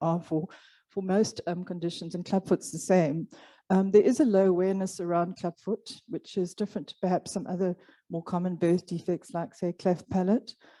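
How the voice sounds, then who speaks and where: On a very clean recording with a silent background and a dry, close sound with no echo, a woman with a dark, mellow tone speaks at a medium pitch and a fairly quick pace with ordinary pitch variation. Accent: Afrikaans. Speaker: clubfoot programme organizer. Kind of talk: conference presentation.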